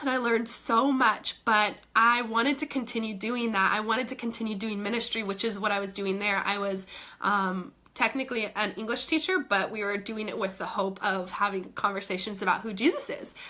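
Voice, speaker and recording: Woman with a fairly high pitch and an animated tone, fairly quick and with hardly any pauses, over noticeable background noise. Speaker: fitness coach. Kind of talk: live stream chat. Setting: live video stream.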